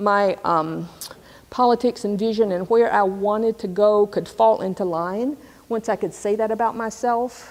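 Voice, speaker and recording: In an unremarkable speaking voice, a woman of medium pitch speaks with an American accent and fairly even intonation. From US South, Alabama (Tuskegee). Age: 60s. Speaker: scholar and activist. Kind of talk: lecture. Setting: stage with audience.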